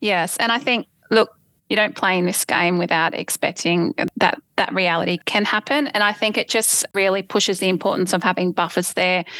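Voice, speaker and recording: A woman with an Australian accent at medium pitch and moderate pace, bright and sharp in tone, with very even loudness, in a very clean recording with a silent background and a dry, close sound with no echo. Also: ordinary pitch variation. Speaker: property investor guest. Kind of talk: interview, telling own story.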